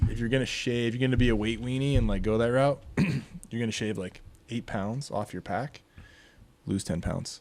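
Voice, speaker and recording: A man with an American accent has an unremarkable speaking voice at a medium pitch. He talks at a moderate pace with ordinary pitch variation. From Utah. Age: 30s. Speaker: strength and conditioning coach. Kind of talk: casual chat.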